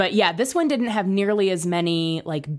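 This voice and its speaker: On a very clean recording with a silent background, a woman with a plain, everyday voice speaks at a moderate pace with ordinary pitch variation. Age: 30s. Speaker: podcaster guest. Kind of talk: casual chat.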